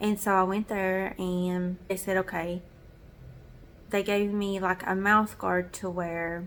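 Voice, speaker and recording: With a Southern US accent, a woman talks at medium pitch in a monotone, flat intonation. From US South. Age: 30s. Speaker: vlogger. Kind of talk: casual chat.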